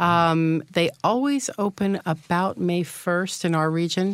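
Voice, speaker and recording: In a normal speaking voice, a woman with a fairly low pitch talks at a fairly slow pace, with ordinary pitch variation. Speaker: tourism representative, North Conway. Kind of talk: radio interview. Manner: cheerful, friendly.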